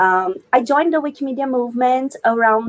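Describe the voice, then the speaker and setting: A woman with a Brazilian accent talks with ordinary pitch variation. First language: Brazilian Portuguese. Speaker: wikipedian, researcher and organizer. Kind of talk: live panel interview.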